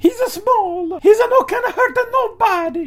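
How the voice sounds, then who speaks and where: A man puts on a squeaky character voice, extremely high in pitch. He keeps a moderate pace. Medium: solo performance.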